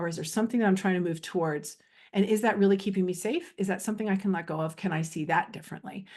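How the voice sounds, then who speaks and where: Over a quiet background, a woman talks at a very fast pace with medium pitch and fairly even intonation. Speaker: spiritual coach and energy healer. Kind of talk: casual spoken video monologue. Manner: free-flowing, many fillers.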